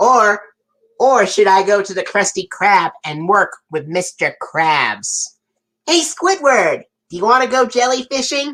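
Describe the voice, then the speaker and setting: Someone uses a cartoonish character voice at a fairly high pitch and a fairly slow pace. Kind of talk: casual live stream talk to viewers. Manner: upbeat.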